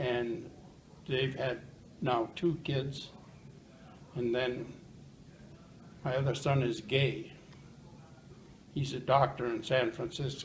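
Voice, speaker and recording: A man at a medium pitch, very slow pace, and fairly even intonation, with long, frequent pauses and audible room echo. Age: 80s+. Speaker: retired plumber. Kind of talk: interview. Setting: senior living residence. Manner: loud.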